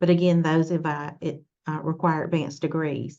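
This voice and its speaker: A woman's very deep, low voice with a Southern US accent, flat and monotone, over a quiet background. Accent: southern drawl. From US South, Mississippi. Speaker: nursing workforce leader. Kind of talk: webinar talk. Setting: online webinar. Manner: halting, many fillers.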